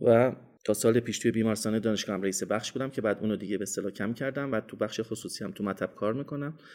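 A man's fairly low voice shows ordinary pitch variation, captured on a very clean recording with a silent background. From Iran, Isfahan. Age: 50s. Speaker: dentistry professor. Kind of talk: interview.

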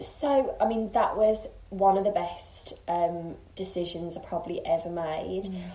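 With a Birmingham accent, a woman talks at a fairly slow pace, her medium pitch moving with ordinary variation. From Birmingham, England. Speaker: makeup artist and blogger. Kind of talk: casual interview chat. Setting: host's home.

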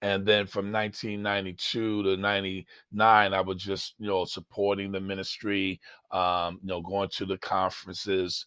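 A man with an American accent speaks at a moderate pace with hardly any pauses, in a fairly low pitch with a bright, sharp tone. His intonation is monotone and flat, and the background is quiet. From Baltimore, Maryland. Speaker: pastor. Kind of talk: interview conversation.

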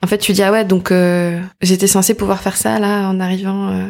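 A woman speaks at a fairly quick pace and a medium pitch. Her intonation is monotone and flat. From Paris banlieue, France. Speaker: association founder. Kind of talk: casual interview. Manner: fast.

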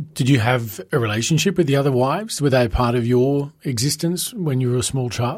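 The speaker, with an Australian accent, talks at a fairly quick pace, somewhat breathy, with ordinary pitch variation. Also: man, medium pitch for a man. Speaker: podcast host. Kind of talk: interview. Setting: recorded venue interview.

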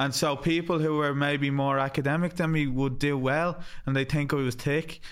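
A man with an Irish accent speaks at a fairly high pitch in a flat monotone. His loudness stays very even throughout. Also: moderate pace. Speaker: podcast host. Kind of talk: casual chat.

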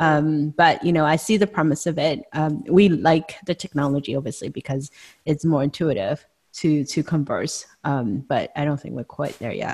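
Recorded very cleanly against a silent background, with a dry, close sound and no echo, a woman with a very deep, low pitch speaks at a moderate pace with ordinary pitch variation. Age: 40s. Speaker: podcast host. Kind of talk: casual chat.

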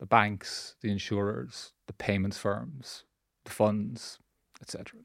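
On a very clean recording with a silent background, a man speaks in a Dublin accent at a fairly low pitch. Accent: Irish (Dublin). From Ireland, Dublin. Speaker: central bank regulator. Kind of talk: podcast interview. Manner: halting, many repetitions.

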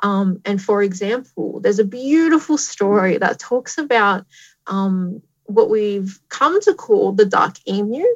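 Fairly slow and somewhat breathy, a woman's medium-pitched voice carries lively intonation. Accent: Australian. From Australia, Tamworth New South Wales. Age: 30s. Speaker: astronomer and science communicator. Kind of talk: live-streamed interview. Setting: live stream to schools.

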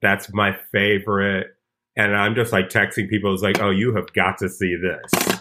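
Speaking at a fairly low pitch, a man talks in an American accent. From Chicago. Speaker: comedian. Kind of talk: casual chat.

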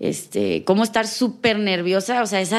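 With a plain, everyday voice, a woman speaks at a medium pitch with ordinary pitch variation on a very clean recording with a silent background. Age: 20s. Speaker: dance teacher. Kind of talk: interview.

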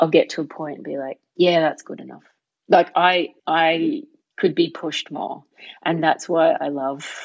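Speaking with an Australian accent at a fairly slow pace, a woman makes big swings in loudness. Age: 30s. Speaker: stand-up comedian. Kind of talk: casual interview chat.

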